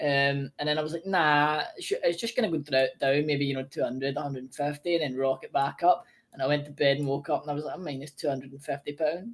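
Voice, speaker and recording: Someone with a Scottish accent talks at a very fast pace with hardly any pauses. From Scotland. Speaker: discord chat participant. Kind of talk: casual chat.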